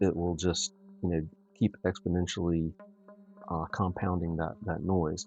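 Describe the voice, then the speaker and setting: A soft-spoken man with a very deep, low pitch talks at a fairly slow pace in a monotone, flat intonation. Music plays in the background, and he leaves long, frequent pauses. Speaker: astrophotographer livestreamer. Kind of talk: live tutorial stream. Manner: halting with many fillers.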